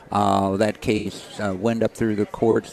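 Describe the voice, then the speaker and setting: A man with an American accent speaks in a fairly low pitch and monotone, flat intonation. Noticeable background noise can be heard. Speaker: activist and charity worker. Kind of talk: interview testimony. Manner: halting, repeats words.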